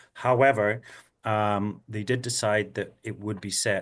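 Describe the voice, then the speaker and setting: With a Scottish accent, a man talks at a fairly slow pace in a fairly low pitch with fairly even intonation against a quiet background. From Scotland. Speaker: actor. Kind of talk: interview answer.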